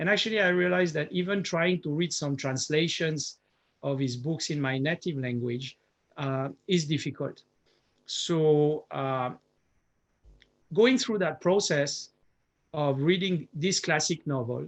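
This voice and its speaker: At a fairly high pitch, a man speaks with ordinary pitch variation and long, frequent pauses against a quiet background. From France. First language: French. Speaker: professor. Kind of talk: lecture. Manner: halting, with frequent fillers.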